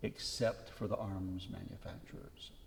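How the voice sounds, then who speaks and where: A somewhat breathy male voice. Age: 60s. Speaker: retired Episcopal priest. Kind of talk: interview conversation.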